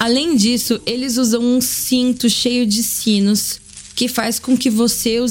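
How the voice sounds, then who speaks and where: With music playing in the background, a woman talks at a fairly high pitch. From Brazil, Sorocaba (São Paulo state). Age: 30s. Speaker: podcast host and cachaça importer. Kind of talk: casual monologue.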